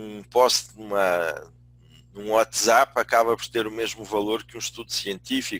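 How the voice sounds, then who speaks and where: A man speaks with a European Portuguese accent. His pitch is medium and his pace fairly slow. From Portugal. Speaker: business school dean and management consultant. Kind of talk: webinar lecture. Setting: online webinar. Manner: hesitant, with many fillers.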